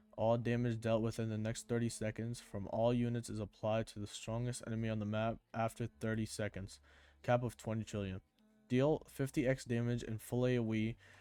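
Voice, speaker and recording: Music plays behind a man speaking at a medium pitch. His intonation is monotone and flat, and his pace is fairly quick. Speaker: gaming YouTuber. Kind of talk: gameplay commentary. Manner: stuttering, halting.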